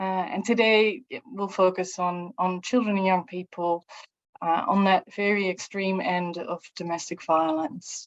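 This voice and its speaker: Fairly slow speech from a woman with a Dutch accent, fairly even intonation and a quiet background. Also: medium pitch for a woman, dry, close sound with no echo. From Netherlands. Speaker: researcher and psychologist. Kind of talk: online lecture. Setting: video call. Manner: halting.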